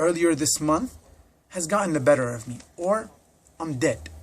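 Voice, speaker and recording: A man with an American accent, high-pitched, at a moderate pace with lively intonation. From US Midwest. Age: 20s. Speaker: political prisoner. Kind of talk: recorded statement. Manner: earnest.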